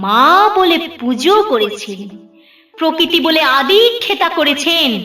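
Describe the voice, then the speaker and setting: Over background music, a woman projects a raised voice at an extremely high pitch, with very wide pitch swings. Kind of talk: poetry reading.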